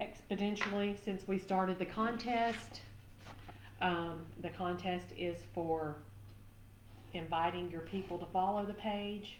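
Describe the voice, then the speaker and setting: In a Southern US accent, a woman speaks at a fairly slow pace with a fairly low pitch and fairly even intonation. Room echo is audible. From Tennessee, US South. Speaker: craft live-stream host. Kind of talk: live craft demo chat. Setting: live stream.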